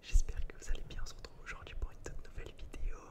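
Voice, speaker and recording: A man is whispering. He speaks in a whisper throughout. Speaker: ASMR gaming creator. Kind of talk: ASMR gaming commentary, whispered. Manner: whispered.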